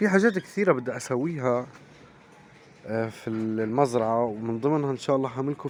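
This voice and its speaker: Against noticeable background noise, a man of medium pitch talks at a moderate pace. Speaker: poultry farmer and vlogger. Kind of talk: casual vlog talk to viewers. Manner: hesitant with fillers.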